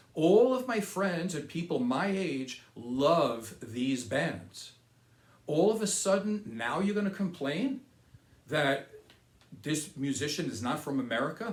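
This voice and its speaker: Audible room echo surrounds a man whose fairly high voice swings very widely in pitch at a fairly slow pace. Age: 60s. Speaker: political commentary video host. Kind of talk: opinion monologue.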